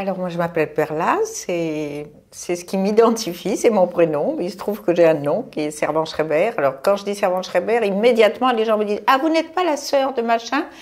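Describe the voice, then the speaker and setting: Her pitch swings very widely around a medium level. The woman speaks at a moderate pace with hardly any pauses. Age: 70s. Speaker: retired magazine publisher. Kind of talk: casual chat.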